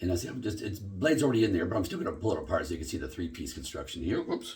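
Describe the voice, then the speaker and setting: Somewhat breathy, a man at a fairly low pitch speaks with very wide pitch swings. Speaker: shaving video host. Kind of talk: product demo. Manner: casual, conversational.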